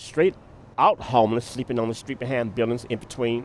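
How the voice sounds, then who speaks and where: A man's voice at a medium pitch. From Arkansas, West Memphis. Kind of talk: interview. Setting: outdoors at a bus stop.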